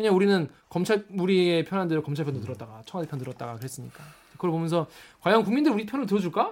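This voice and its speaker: An animated, playful tone at a very fast pace, with very wide pitch swings. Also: man, big swings in loudness. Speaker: news reporter hosting a comment-reading show. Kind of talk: casual panel chat. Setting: studio.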